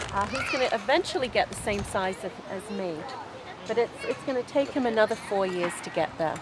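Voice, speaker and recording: Over noticeable background noise, a woman speaks fairly quickly in a fairly high voice with lively intonation. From England. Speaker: kangaroo farm owner. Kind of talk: interview. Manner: halting, many fillers.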